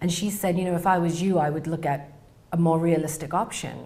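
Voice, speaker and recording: Fairly even intonation runs through speech that carries an audible room echo. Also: woman. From England. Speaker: researcher, PhD candidate. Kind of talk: interview storytelling.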